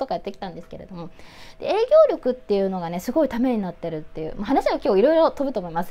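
A woman speaks with a dark, mellow tone. Her pitch swings very widely. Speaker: YouTuber, model and actress. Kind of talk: casual talk to camera. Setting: speaking through a face mask. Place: home room. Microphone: phone near.

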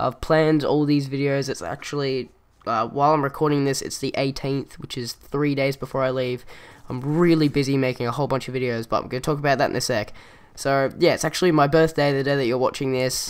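Speaking very fast, a man keeps a fairly high pitch and fairly even intonation. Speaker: gaming YouTuber. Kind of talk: gameplay commentary vlog. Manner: fast talker.

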